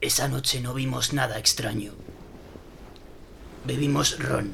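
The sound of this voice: A man uses a put-on character voice at a slow pace, with medium pitch and fairly even intonation. His fairly bright tone has vocal fry, and audible room echo surrounds it.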